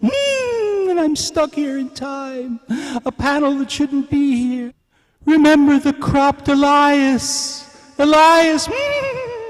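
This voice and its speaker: Someone speaks very slowly in a high-pitched, put-on character voice. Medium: voice reel.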